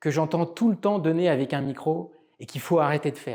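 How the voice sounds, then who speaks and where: At a moderate pace, a man with a fairly high pitch and a dark, mellow tone talks with ordinary pitch variation. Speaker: public speaking coach. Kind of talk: tutorial.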